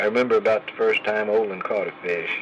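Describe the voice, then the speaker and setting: A man talks at a moderate pace with an Oklahoma accent. Noticeable background noise runs underneath. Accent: Oklahoma Southern US. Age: 80s+. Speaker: grandfather telling life stories. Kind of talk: storytelling memoir. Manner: halting.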